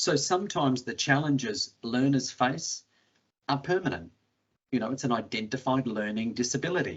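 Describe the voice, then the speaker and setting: A man with an Australian accent, medium in pitch, at a moderate pace. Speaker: education technology specialist. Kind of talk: webinar panel talk.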